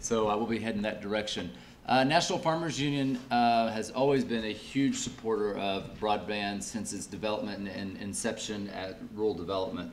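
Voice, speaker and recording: With audible room echo, a man speaks at a fairly quick pace and fairly low pitch, with ordinary pitch variation and hardly any pauses. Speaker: farm organization lobbyist. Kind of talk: panel discussion. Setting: panel before live audience, restaurant. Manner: loud.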